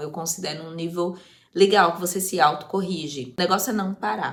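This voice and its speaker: An unremarkable speaking voice of a woman, fairly low in pitch, with ordinary pitch variation and a moderate pace. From Brazil, Osasco, São Paulo. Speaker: youtuber, language-learning vlogger. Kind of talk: casual vlog talk.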